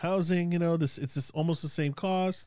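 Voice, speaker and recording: The man's dark, mellow tone comes through on a very clean recording with a silent background. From Sacramento, California. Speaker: professor and theater artist. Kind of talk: casual chat. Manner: casual, profane, rambling.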